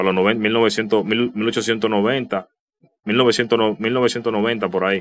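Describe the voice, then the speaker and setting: A man's fairly low voice with fairly even intonation. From Dominican Republic. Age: 30s. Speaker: youtuber. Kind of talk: casual vlog commentary. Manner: halting, many repetitions and fillers. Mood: somber, nostalgic tribute. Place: home room.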